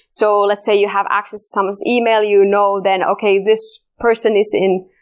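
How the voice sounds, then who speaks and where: Medium pitch from a woman with a Finnish accent, monotone and flat, at a moderate pace, in a very clean recording with a silent background. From Finland. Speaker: security researcher. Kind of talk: conference talk. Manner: halting.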